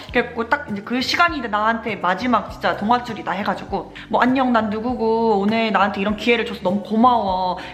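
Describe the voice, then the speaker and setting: Over noticeable background noise, a woman with fairly high pitch talks at a very fast pace with hardly any pauses and ordinary pitch variation. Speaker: nursing graduate vlogger. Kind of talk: casual vlog storytelling. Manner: animated, voice rising when excited.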